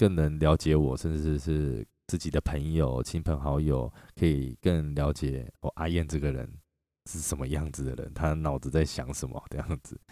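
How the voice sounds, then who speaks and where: On a very clean recording with a silent background and a dry, close sound with no echo, a man speaks at a fairly slow pace in a very deep, low pitch, with a dark, mellow tone and fairly even intonation. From Taiwan (Chiayi). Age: 40s. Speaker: podcast host and performer. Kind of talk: reflective monologue.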